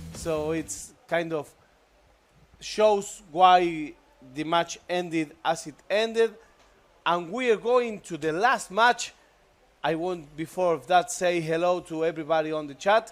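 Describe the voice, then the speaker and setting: A man's high-pitched voice at a very slow pace, with ordinary pitch variation, big swings in loudness, and long, frequent pauses. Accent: Argentine. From Argentina. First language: Spanish. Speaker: esports commentator. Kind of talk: live commentary.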